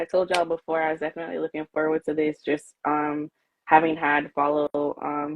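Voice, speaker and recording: A woman in a strong Jamaican accent, very deep and low in pitch, monotone and flat, at a fairly quick pace. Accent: Jamaican, came out strong. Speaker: live show host, interviewer. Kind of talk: casual live-stream interview.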